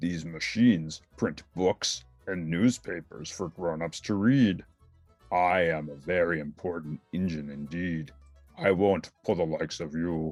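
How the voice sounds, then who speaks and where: Faint music plays behind a man doing a put-on character voice, very deep and low, delivered at a fairly slow pace. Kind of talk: children's book read-aloud.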